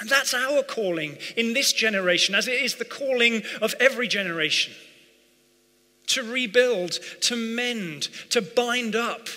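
A man speaks in a raised, projected voice. His pace is fairly slow. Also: ordinary pitch variation. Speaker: preacher. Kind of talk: sermon. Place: church. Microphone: headset.

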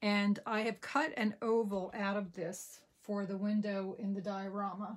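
A woman speaks with an American accent and fairly even intonation. The background is quiet. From New Jersey. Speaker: papercraft demonstrator; craft demonstrator. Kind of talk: crafting tutorial. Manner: casual with frequent fillers.

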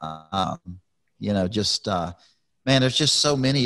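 Very wide pitch swings in a Texan accent over a quiet background. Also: man. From Texas, Houston. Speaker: retired NASCAR driver, podcast host; podcast host. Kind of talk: casual chat. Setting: video podcast from home. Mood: warm, sentimental. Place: studio. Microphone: studio mic.

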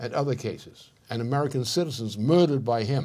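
Ordinary pitch variation marks this somewhat breathy voice. Its tone is dark and mellow, and the tempo is moderate. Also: man. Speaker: political commentator. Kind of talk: interview answer. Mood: stern, forceful condemnation. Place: studio.

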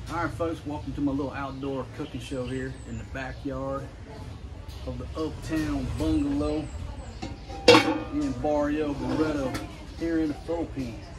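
Noticeable background noise sits behind the recording. A man talks at a fairly slow pace. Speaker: home cook host. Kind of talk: casual cooking show chat. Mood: jokey, relaxed. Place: garden. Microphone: camera far.

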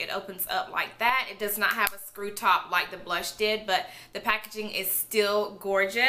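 A woman speaks over light background noise. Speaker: beauty vlogger. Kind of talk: product review vlog. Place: home room.

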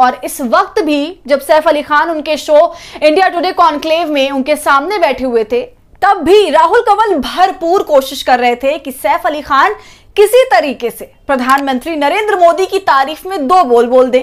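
Lively in intonation, a high-pitched woman speaks at a fairly slow pace against a quiet background. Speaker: news presenter. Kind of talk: news commentary. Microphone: lapel.

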